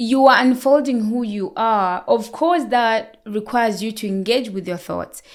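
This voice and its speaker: A woman talks loudly at a fairly slow pace with hardly any pauses, her fairly high voice showing ordinary pitch variation in a very clean recording with a silent background. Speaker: nurse. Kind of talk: expert interview. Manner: talkative.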